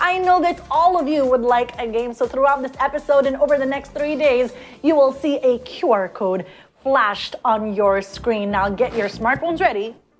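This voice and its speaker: Music plays in the background as a woman talks at a moderate pace. Her high voice has lively intonation. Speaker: online event host. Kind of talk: live web show hosting. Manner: animated.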